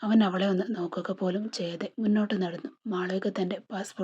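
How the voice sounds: The reading voice sounds natural, with intonation that stays fairly even.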